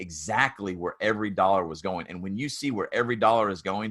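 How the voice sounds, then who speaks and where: In a Tennessee accent, a man talks at a fairly quick pace with a bright, sharp tone and a fairly low pitch. His pitch varies in an ordinary way, over a quiet background. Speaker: construction business consultant and author. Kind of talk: podcast interview.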